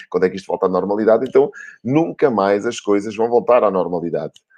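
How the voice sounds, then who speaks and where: Against a quiet background, the speech races along at a very fast pace in an animated tone with ordinary pitch variation. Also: man. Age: 40s. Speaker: marketing director hosting a live video show. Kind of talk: motivational live-stream talk. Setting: live stream on a social media page.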